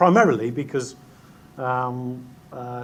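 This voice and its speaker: In an English Midlands accent, a man speaks at a medium pitch with monotone, flat intonation and audible room echo. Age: middle-aged. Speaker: chief executive. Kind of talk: conference talk. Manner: halting, many fillers.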